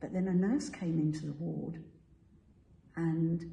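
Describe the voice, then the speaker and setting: A woman's fairly low voice comes at a fairly slow pace, with audible room echo around it. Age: 80s+. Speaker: church member sharing testimony. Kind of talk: testimony.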